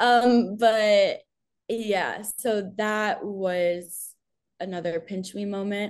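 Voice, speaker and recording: In an American accent, a woman talks at a very slow pace and a medium pitch, with fairly even intonation. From New York. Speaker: sports content creator. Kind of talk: casual interview.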